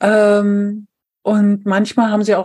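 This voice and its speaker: At a very slow pace, a woman speaks in a dark, mellow tone that is somewhat breathy. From eastern Germany, Brandenburg an der Havel. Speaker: civil engineer turned trainer and coach. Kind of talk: interview conversation.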